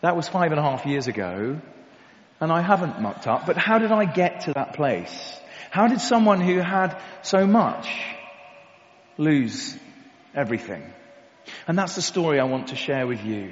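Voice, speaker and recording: A man with a southern English accent speaks in a high pitch at a moderate pace, his pitch swinging very widely. Long, frequent pauses break up his speech amid audible room echo and noticeable background noise. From Kent, England. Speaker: recovered addict, former soldier. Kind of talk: testimony. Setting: church with audience.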